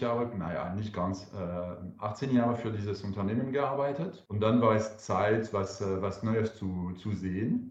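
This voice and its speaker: A man speaks with a French accent at a fairly slow pace, with hardly any pauses. His pitch is fairly low, and audible room echo surrounds the voice. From France. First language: French (speaking German). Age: 40s. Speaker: wine entrepreneur. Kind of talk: interview. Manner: hesitant, with fillers.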